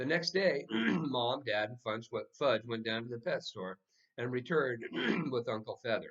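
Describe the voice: Against a quiet background, this is plain reading aloud with lively intonation.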